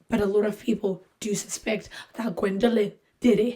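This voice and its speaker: A woman uses a put-on character voice, raspy and at medium pitch. Her intonation is monotone and flat, her pace moderate. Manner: sudden, unplanned.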